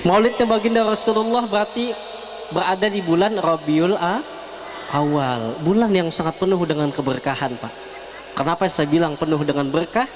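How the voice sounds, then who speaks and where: Lively intonation and a moderate pace mark a man's speech over noticeable background noise. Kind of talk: religious sermon.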